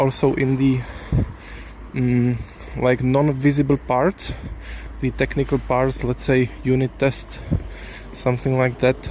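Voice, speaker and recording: A man speaks at a fairly slow pace with very even loudness. He leaves long, frequent pauses over noticeable background noise. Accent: Czech. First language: Czech. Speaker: software developer. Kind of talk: casual vlog monologue. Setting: outdoors, walking. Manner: halting.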